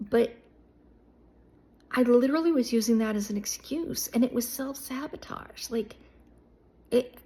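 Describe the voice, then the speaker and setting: A woman's high pitch with ordinary pitch variation, over noticeable background noise. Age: 60s. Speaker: YouTuber, life coach. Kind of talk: casual vlog monologue. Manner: animated.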